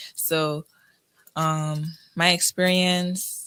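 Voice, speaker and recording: This woman has a Crucian accent. Her pitch is very deep and low. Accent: Crucian (US Virgin Islands) English. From US Virgin Islands, St. Croix. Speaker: college student, scholarship recipient. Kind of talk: radio interview. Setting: radio studio.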